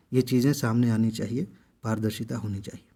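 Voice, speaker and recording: The speaker is a man at a moderate pace. The recording is very clean, with a silent background. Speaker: exam coaching YouTuber. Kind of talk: impassioned video monologue. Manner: loud; animated.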